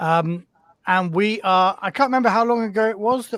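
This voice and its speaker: This man talks loudly at a high pitch. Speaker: podcast host and tabletop RPG player. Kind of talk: casual chat. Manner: halting, many fillers.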